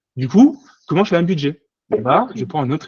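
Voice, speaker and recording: Lively intonation and a somewhat breathy quality in a man's voice. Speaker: management controller and sustainability accounting consultant. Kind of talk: conference presentation. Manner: fast; halting, many repetitions.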